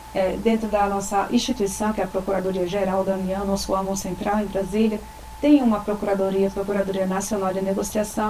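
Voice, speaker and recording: Against noticeable background noise, a woman speaks at a moderate pace with a medium pitch. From Rio Grande do Norte, Brazil. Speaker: government attorney. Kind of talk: interview.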